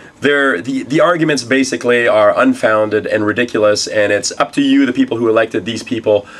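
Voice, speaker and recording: At a fairly quick pace, a man speaks with a medium pitch and ordinary pitch variation. Noticeable background noise sits behind him. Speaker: tech news show host. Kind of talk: news show to camera.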